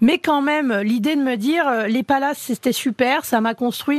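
Against a quiet background, a woman with a plain, everyday voice talks at a fairly quick pace with ordinary pitch variation, the sound dry and close with no echo. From Paris suburbs, France. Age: 40s. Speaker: chef. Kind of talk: interview.

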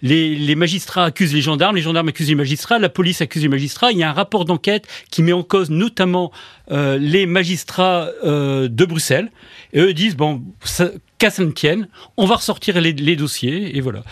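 Pitched high, a man speaks at a moderate pace with ordinary pitch variation on a very clean recording with a silent background. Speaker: journalist and author. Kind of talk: interview.

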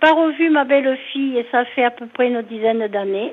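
With ordinary pitch variation and a high pitch, a woman talks very slowly. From southwest France, near Bordeaux. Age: 70s. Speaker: caller. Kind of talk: radio call-in. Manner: halting.

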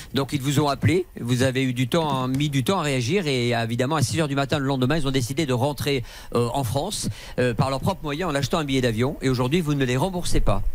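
At a fairly quick pace, a man with an ordinary speaking voice talks at a fairly high pitch with ordinary pitch variation. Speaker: radio negotiator. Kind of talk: radio show report.

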